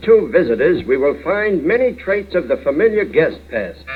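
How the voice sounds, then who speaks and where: Noticeable background noise sits behind a man with an American accent. He talks at a moderate pace with very wide pitch swings. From United States. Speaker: narrator. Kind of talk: comedy short film narration. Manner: dry, wry.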